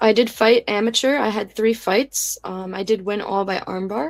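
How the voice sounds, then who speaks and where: In a very clean recording with a silent background, a woman speaks in an American accent at a fairly slow pace. Her pitch is fairly high, and she has a plain, everyday voice. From New Jersey. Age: 20s. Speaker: grappler and amateur MMA fighter. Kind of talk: podcast interview.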